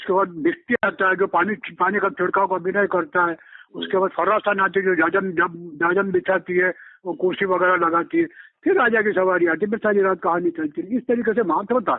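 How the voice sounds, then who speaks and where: A man with a high-pitched voice speaks at a moderate pace. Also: ordinary pitch variation. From India, Malwa region (Ujjain, Madhya Pradesh). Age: 80s+. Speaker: folk theatre artist and playwright. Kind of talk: interview.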